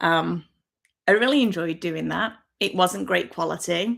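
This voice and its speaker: Her voice medium in pitch with vocal fry, a woman speaks at a moderate pace with lively intonation on a very clean recording with a silent background. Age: 50s. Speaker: YouTuber. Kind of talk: casual livestream chat. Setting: livestream from home on laptop.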